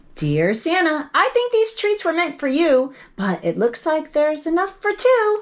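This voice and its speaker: A woman uses a put-on character voice, squeaky and extremely high in pitch. She goes at a moderate pace with hardly any pauses. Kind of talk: bedtime story. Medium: read story. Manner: sweet, earnest, cutesy.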